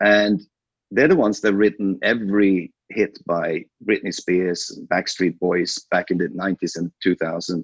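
A man with a Swedish accent, fairly slow, ordinary pitch variation, in a dry, close sound with no echo. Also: fairly low pitch for a man. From Sweden. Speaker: film producer and former studio executive. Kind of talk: interview.

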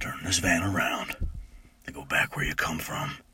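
Putting on a gruff, raspy character voice, a man talks in a very deep, low pitch. His pace is moderate. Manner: warning, foreboding.

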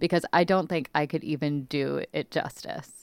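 Speaking at a fairly slow pace with ordinary pitch variation, a woman with an American accent has an ordinary speaking voice on a very clean recording with a silent background. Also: dry, close sound with no echo. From New York City. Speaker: podcast host. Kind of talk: casual chat.

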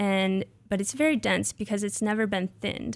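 Heard on a very clean recording with a silent background, a woman with an American accent has a plain, everyday voice at medium pitch with fairly even intonation. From Nebraska, US Midwest. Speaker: graduate student, soil scientist. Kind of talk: interview about her research. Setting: radio studio.

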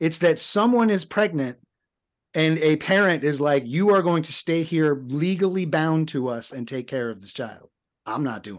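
In a normal speaking voice with a fairly high pitch, a man speaks at a moderate pace with lively intonation and big swings in loudness against a quiet background. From US South. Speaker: podcast co-host discussing films. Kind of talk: casual chat.

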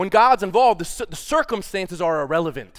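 In a very clean recording with a silent background, a man speaks at a fairly quick pace in a high voice, his tone animated and his pitch swinging very widely. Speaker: preacher. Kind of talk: sermon. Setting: church with congregation. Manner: fast.

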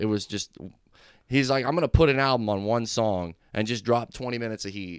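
This man has a fairly low pitch, ordinary pitch variation, and a plain, everyday voice. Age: 30s. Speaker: rapper. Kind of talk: casual chat.

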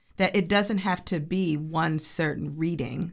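A woman with a very deep, low pitch and vocal fry speaks with ordinary pitch variation. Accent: American. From Chicago suburbs, US Midwest. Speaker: choreographer and dancer. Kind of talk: interview.

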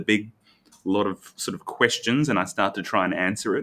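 With an Australian accent, a man talks at a fairly quick pace. His tone is bright and sharp, with ordinary pitch variation. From Australia, Brisbane. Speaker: architect, firm founder. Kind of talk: casual interview chat. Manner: halting, many restarts.

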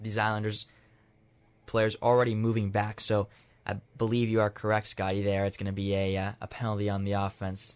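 A man speaks at a fairly quick pace with a quiet background behind him. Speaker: football play-by-play announcer. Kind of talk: live sports commentary, play-by-play. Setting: radio broadcast, high school football game. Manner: fast, animated, excited on touchdowns.

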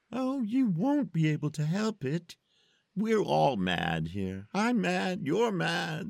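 A man puts on a character voice, high in pitch and fairly slow in pace, in a very clean recording with a silent background. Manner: sly, amused, teasing.

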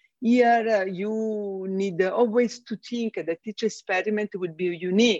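Fairly slow, fairly evenly intoned speech in a strong Italian accent, with a dry, close sound and no echo. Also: woman. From Italy. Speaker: space systems engineer. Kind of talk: casual interview conversation. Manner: halting, with fillers.

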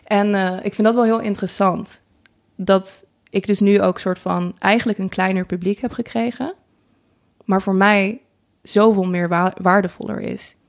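A woman's medium-pitched voice at a fairly slow pace, with fairly even intonation and long, frequent pauses, on a very clean recording with a silent background. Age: 20s. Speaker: singer and vlogger. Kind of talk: interview. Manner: halting, many fillers.

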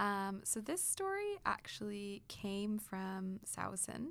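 A woman speaks with a Canadian accent. The recording is very clean, with a silent background. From Kitchener area, Ontario, Canada. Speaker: supply teacher and musician. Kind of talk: casual chat. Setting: studio.

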